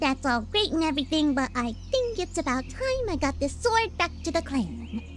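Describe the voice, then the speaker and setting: A put-on character voice, female-sounding, moves at a moderate pace. Clear background noise sits behind it. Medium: video game. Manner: fast, nervous, chatty.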